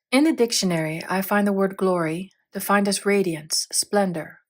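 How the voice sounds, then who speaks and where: Over a silent background in a very clean recording, a woman with medium pitch speaks at a moderate pace in an unremarkable speaking voice. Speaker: audiobook narrator. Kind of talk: audiobook reading of a spiritual text.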